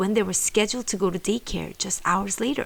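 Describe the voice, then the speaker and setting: A woman's calm, gentle voice at medium pitch, with vocal fry. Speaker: mother. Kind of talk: true crime storytelling narration.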